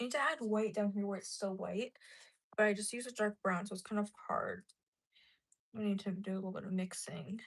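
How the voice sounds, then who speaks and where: A woman speaks at a fairly quick pace in a medium pitch, somewhat breathy. Her pitch variation is ordinary, and she takes long, frequent pauses. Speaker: livestreamer painting a mask. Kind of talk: casual live stream chat.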